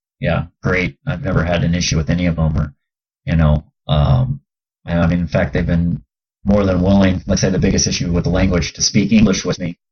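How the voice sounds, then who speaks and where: At a fairly quick pace, a man with an American accent speaks in a very deep, low, somewhat breathy voice with ordinary pitch variation. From Southern California. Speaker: professional basketball player. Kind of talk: casual chat.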